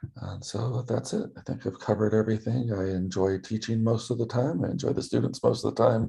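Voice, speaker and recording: At a moderate pace, a man speaks in a fairly low voice with a dark, mellow tone, vocal fry and ordinary pitch variation. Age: 50s. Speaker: student teacher. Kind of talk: self-introduction video for class. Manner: hesitant, many fillers.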